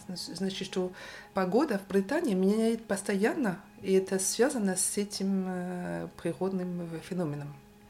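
Over noticeable background noise, a woman of medium pitch speaks at a fairly slow pace, with ordinary pitch variation and big swings in loudness. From Brittany, France. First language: French (speaking Russian). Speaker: sociologist. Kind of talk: casual chat. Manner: halting.

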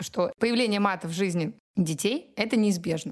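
With a plain, everyday voice, a woman speaks at a medium pitch and a moderate pace, her intonation lively. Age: 30s. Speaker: parenting podcast host, mother. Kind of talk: casual chat.

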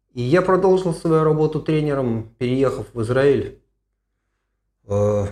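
A man's medium-pitched, dark, mellow voice at a fairly slow pace, with lively intonation and long, frequent pauses. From Russia, Moscow. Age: 60s. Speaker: running coach and physician. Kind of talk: podcast Q&A.

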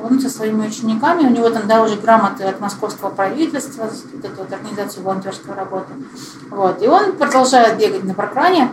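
A woman talks very fast at a fairly high pitch with lively intonation and big swings in loudness. Noticeable background noise runs underneath. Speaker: parkrun co-founder and organizer. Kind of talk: casual interview chat. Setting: recorded live in person with the host.

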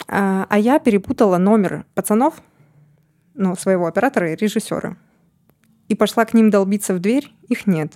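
A woman speaks in a dark, mellow tone with ordinary pitch variation and long, frequent pauses. The sound is dry and close, with no echo. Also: medium pitch for a woman, moderate pace, very even loudness. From Siberia, Russia. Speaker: producer. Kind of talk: casual chat.

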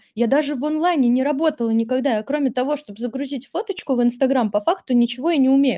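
A woman talks in a high pitch with ordinary pitch variation. Her tone is dark and mellow. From Russia, Tver. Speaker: online school support specialist. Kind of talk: casual interview. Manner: animated.

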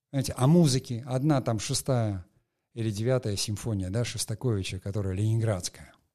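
A man with a dark, mellow tone talks at a moderate pace with ordinary pitch variation. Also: medium pitch for a man, very clean recording, silent background. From Soviet Union / Russia. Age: 60s. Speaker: podcast host, film industry veteran. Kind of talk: solo monologue, educational talk. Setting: studio. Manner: hesitant, many filler sounds.

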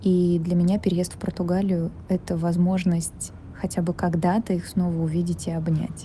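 A woman speaks in a fairly low voice. Her intonation stays flat and monotone. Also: moderate pace. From Russia, Saint Petersburg. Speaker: film producer. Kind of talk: recorded audio letter.

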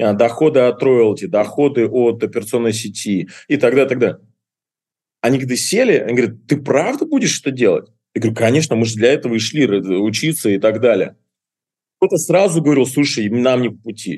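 Speaking at a fairly quick pace, a man with a medium-pitched voice sounds animated, using ordinary pitch variation. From Russian Far East (Kuril Islands). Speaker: restaurant entrepreneur. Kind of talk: interview.

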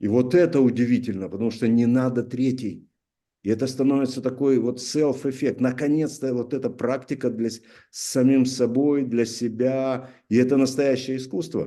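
A dark, mellow tone at a moderate pace, with fairly even intonation. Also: man, medium pitch for a man. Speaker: author of a therapeutic art method, artist. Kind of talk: interview.

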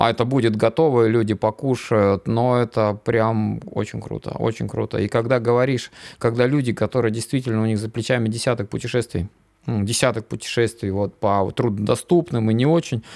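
A man speaks at a medium pitch and a moderate pace, in an unremarkable speaking voice with fairly even intonation. The recording is very clean, with a silent background. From Komi Republic, Inta. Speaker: mountain guide. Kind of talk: casual chat.

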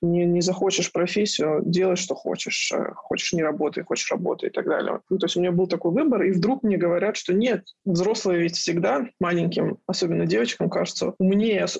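At a moderate pace and very even loudness, a woman speaks at medium pitch with ordinary pitch variation in an unremarkable speaking voice. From Dagestan, Makhachkala. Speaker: art director and feminist blogger. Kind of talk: casual interview chat.

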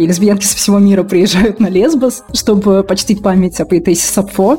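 Against noticeable background noise, a woman talks at a fairly quick pace with a medium pitch and ordinary pitch variation. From Russia, Moscow. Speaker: journalist and blogger. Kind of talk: casual interview chat.

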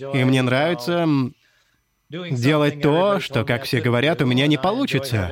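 His voice sits at medium pitch and carries an English accent. The man's intonation is lively. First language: English (speaking Russian). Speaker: programming language creator. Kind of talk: interview.

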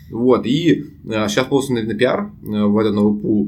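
Audible room echo and noticeable background noise surround a man speaking with lively intonation. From Russia, Saint Petersburg. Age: 20s. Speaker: international student and YouTube producer. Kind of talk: casual chat.

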